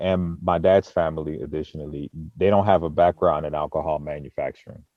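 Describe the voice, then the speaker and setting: A man talks in a very deep, low pitch with ordinary pitch variation. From Boston, Massachusetts. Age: 30s. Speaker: mead maker. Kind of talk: interview.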